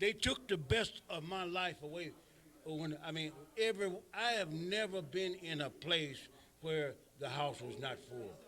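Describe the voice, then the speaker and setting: With an American accent, the speaker uses a bright, sharp tone, ordinary pitch variation, and a fairly slow pace. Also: man, high pitch for a man. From Iowa (Waterloo). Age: 70s. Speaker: retired pro wrestler. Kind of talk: interview. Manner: animated.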